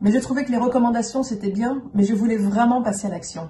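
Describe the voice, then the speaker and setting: Her voice sits fairly high for a woman, an unremarkable speaking voice with ordinary pitch variation. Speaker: company CEO. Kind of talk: self-introduction video.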